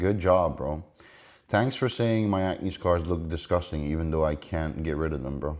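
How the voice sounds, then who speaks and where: Recorded very cleanly against a silent background, a man talks at a moderate pace in an animated tone with lively intonation. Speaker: bodybuilder and online coach. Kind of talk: casual reaction commentary. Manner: heavy breathing.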